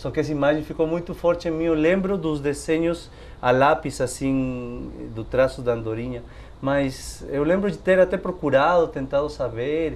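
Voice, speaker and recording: A man with a non-native accent speaks at a moderate pace in a fairly high pitch, with ordinary pitch variation. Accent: foreign accent in Portuguese. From Peru. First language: Spanish (speaking Portuguese). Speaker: storyteller. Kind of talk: casual interview. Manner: hesitant.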